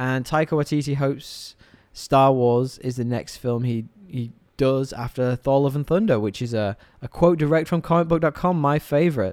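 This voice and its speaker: A man with a British accent speaks at a medium pitch and moderate pace, with ordinary pitch variation. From England. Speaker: podcast host. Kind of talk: casual chat.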